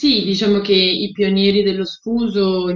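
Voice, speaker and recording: Monotone and flat in intonation, the delivery moves at a fairly slow pace. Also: woman. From Rome, Italy. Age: 30s. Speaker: sustainability entrepreneur. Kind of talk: interview. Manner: halting, frequent fillers.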